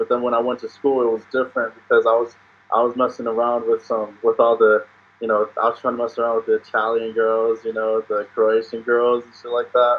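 Intonation stays monotone and flat while the words come at a fairly quick rate. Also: man. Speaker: podcast guest. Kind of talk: interview answer. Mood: cheerful, laughing. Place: home room. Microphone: video call.

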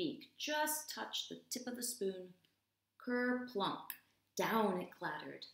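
A woman's bright, sharp, enthusiastic voice, with vocal fry and very wide pitch swings, comes at a fairly slow pace through audible room echo. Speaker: ESL teacher. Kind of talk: children's story read-aloud. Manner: expressive, enthusiastic, clear. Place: home room. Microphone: webcam.

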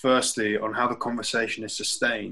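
The man's tone is bright and sharp. His background is quiet. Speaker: podcast co-host. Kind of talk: casual chat. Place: home room. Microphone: video call.

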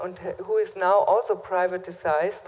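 A woman with a German accent, a fairly slow pace and ordinary pitch variation. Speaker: conference moderator. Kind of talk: panel discussion. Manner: halting. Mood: earnest, critical. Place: hall. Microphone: podium.

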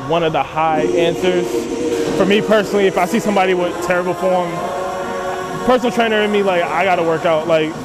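Loud music plays in the background as a man talks at a very fast pace. His pitch varies in an ordinary way. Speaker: fitness vlogger interviewing people. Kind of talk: casual vlog chat. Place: gym.

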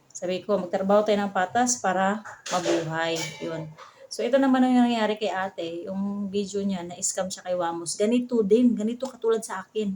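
Over noticeable background noise, a woman with a medium pitch and ordinary pitch variation talks at a fairly quick pace. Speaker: vlogger. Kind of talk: casual vlog narration.

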